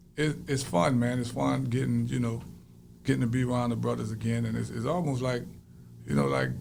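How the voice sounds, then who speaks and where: A speaker with an American accent talks at a fairly quick pace amid audible room echo. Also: man. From US South. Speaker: rapper, former prisoner. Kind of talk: interview. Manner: loud.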